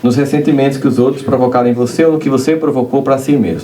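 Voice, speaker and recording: The recording has noticeable background noise. Room echo is audible as well. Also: man. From Brazilian Northeast, Campina Grande. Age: 40s. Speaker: spiritist lecturer. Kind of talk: lecture. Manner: animated.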